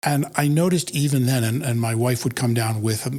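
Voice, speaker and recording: With noticeable background noise behind him, a man with an American accent talks at a moderate pace, medium-pitched with ordinary pitch variation. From US Northeast, Philadelphia. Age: 60s. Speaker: podiatric physician and educator. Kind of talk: podcast interview.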